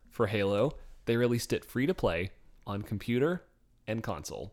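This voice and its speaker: A man with medium pitch speaks at a moderate pace in a plain, everyday voice. The recording is very clean, with a silent background. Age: 20s. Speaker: podcast co-host. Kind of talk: casual chat.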